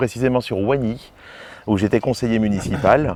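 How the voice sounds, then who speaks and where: There is noticeable background noise around a man whose voice sits at a fairly low pitch. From northern France, mining basin (Lens). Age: 40s. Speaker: mayor, politician. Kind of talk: interview. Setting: outdoors in a garden. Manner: hesitant, repeats words.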